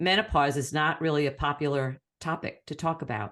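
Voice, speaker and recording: Against a quiet background, a woman talks in a very deep, low pitch. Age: 60s. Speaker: podcast co-host. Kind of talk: casual chat.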